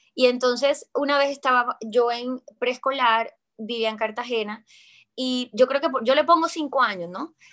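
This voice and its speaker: The voice moves at a fairly slow pace. Its pitch variation is ordinary. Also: woman, high pitch for a woman. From Colombia. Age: 20s. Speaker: actress. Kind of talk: interview testimony.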